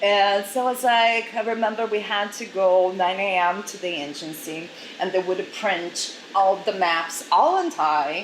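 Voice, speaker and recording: Someone with a Portuguese accent talks at a fairly slow pace with ordinary pitch variation, with audible room echo and noticeable background noise. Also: woman, medium pitch for a woman. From Brazil. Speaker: model agency director. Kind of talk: interview.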